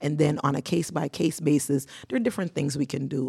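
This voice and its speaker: Over a silent background in a very clean recording, a woman speaks at a fairly quick pace in a very deep, low voice, dark and mellow in tone with vocal fry. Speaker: nurse and nonprofit founder. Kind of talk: studio interview. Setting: studio.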